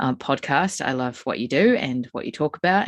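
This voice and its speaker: A woman's very deep, low voice in a New Zealand accent at a fairly quick pace. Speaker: psychic medium and spiritual healer. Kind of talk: podcast conversation.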